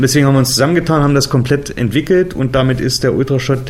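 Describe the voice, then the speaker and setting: A man with a fairly high pitch talks in a normal speaking voice with ordinary pitch variation. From Germany, Harz region (Saxony-Anhalt). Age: 40s. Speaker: adventure park founder and managing director. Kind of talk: interview.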